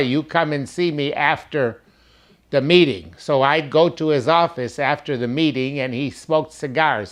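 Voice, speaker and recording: With a Detroit accent, the speaker goes at a fairly slow pace with ordinary pitch variation. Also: man. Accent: Detroit American English. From west side Detroit, Michigan. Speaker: former neighborhood resident. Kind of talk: oral history storytelling.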